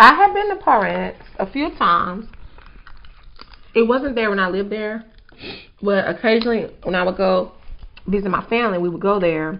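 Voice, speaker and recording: Speech moves at a moderate pace with ordinary pitch variation and long, frequent pauses. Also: woman. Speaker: food vlogger. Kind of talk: casual mukbang chat. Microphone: lapel.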